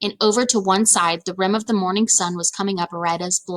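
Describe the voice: What we hear is plain reading aloud.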